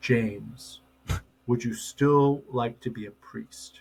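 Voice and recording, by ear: A man puts on a character voice at medium pitch. He talks at a very slow pace.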